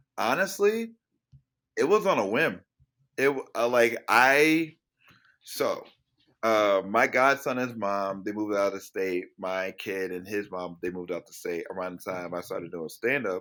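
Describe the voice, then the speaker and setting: Over a silent background in a very clean recording, a man talks at a moderate pace. His tone is bright and sharp, and his loudness swings a lot. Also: fairly low pitch for a man, ordinary pitch variation. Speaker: stand-up comedian. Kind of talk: casual interview chat. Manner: halting.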